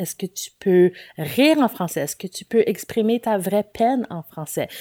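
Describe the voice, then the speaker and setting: A woman speaks fairly slowly in a dark, mellow tone at a fairly high pitch, with lively intonation. The sound is dry and close with no echo, on a very clean recording with a silent background. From Nova Scotia, Halifax. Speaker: writer and activist. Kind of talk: interview.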